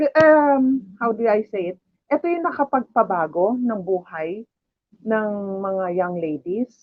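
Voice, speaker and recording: A woman's pitch swings very widely as she talks fairly slowly. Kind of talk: testimony. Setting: livestream.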